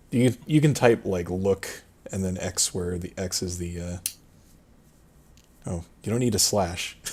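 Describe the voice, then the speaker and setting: With a very deep, low voice that is somewhat breathy, a man speaks at a fairly slow pace, with ordinary pitch variation and long, frequent pauses. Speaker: streamer running own text adventure game. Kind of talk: casual chat while narrating game text.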